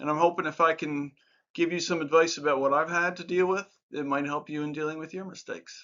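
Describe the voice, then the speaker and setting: Speaking at a fairly quick pace, a man has an unremarkable speaking voice with a fairly high pitch and ordinary pitch variation. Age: 60s. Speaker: life advice YouTuber. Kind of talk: casual talk-to-camera advice monologue. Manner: conversational with filler words.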